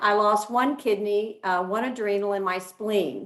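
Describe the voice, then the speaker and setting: With a normal speaking voice, a woman speaks at a fairly high pitch and a moderate pace. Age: 60s. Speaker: mother sharing health story. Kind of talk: testimony.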